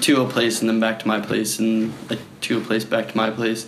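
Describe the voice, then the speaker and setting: A man with an American accent speaks at a medium pitch and moderate pace against noticeable background noise. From Philadelphia suburbs, US. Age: 20s. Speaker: project founder meeting strangers. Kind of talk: casual chat.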